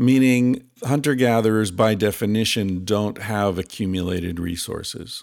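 A man talks in an ordinary speaking voice, fairly low in pitch. His pace is moderate, with hardly any pauses. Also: ordinary pitch variation. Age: 50s. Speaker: author and researcher. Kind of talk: casual interview.

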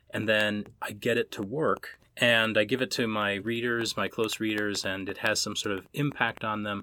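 A bright, sharp tone and a Minnesota accent come through on a very clean recording with a silent background. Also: man. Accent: Minnesota American. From US Midwest, Minnesota. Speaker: author and professor. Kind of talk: interview. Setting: in-person recording.

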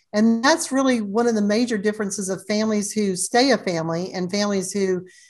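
Music plays behind the speech. The speaker is a woman. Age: 60s. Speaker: family legacy planner and author. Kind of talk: podcast interview.

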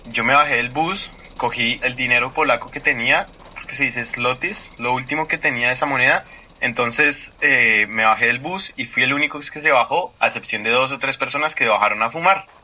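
Noticeable background noise runs under this recording. A man speaks with ordinary pitch variation. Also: medium pitch for a man, moderate pace. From Colombia. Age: 20s. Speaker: student. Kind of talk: storytelling interview.

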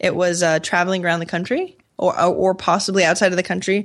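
An unremarkable speaking voice with an American accent moves at a fairly quick pace. The background is quiet. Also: woman. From Maine, US. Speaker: entrepreneur and podcaster. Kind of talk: interview conversation.

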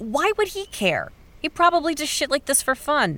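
A woman puts on a character voice, high in pitch with a bright, sharp tone. Her pitch swings are big. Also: moderate pace.

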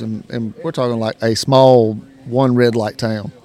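A man with a Southern US accent at medium pitch and a moderate pace. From South Carolina. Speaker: coon hunter and podcaster. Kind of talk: casual interview. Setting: event venue.

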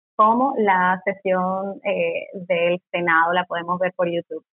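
Music in the background beneath speech of ordinary pitch variation. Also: woman. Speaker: political scientist. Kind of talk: interview.

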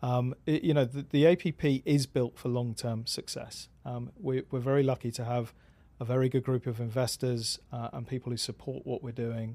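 A man with a British accent speaks at a moderate pace in a medium pitch, his dark, mellow tone carried by fairly even intonation. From England. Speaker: pickleball tour marketing executive. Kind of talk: podcast interview. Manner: halting.

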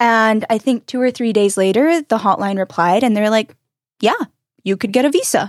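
With an American accent, a woman in a plain, everyday voice speaks at a moderate pace with fairly high pitch, ordinary pitch variation, and very even loudness. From North Carolina. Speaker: emigrant, barista. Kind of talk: casual interview. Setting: studio.

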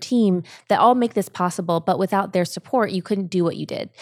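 A woman with an American accent talks at a fairly quick pace in a medium pitch, an unremarkable speaking voice captured in a very clean recording with a silent background and a dry, close sound with no echo. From Ohio, US. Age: 30s. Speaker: influencer and brand co-founder. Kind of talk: interview.

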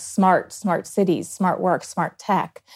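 With an American accent, a woman has a plain, everyday voice, medium in pitch, with fairly even intonation at a fairly slow pace. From Virginia, US. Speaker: philanthropy program officer. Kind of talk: interview.

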